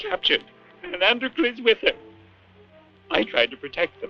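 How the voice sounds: Putting on a character voice, a man speaks high-pitched with very wide pitch swings at a moderate pace, faint music in the background.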